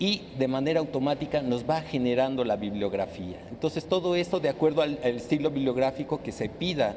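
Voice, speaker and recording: A man with a fairly high pitch at a fairly quick pace, over noticeable background noise. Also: ordinary pitch variation, hardly any pauses. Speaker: librarian and library science educator. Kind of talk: panel discussion. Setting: live broadcast from a library. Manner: halting.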